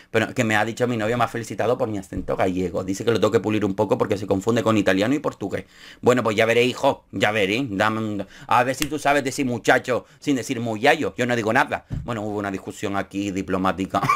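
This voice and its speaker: Very fast speech in a Canarian accent, animated in tone, with ordinary pitch variation and a quiet background. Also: man, fairly low pitch for a man. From Canary Islands (Gran Canaria); Canary Islands. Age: 30s. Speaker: YouTuber, TV show commentator. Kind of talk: casual commentary vlog. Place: home room.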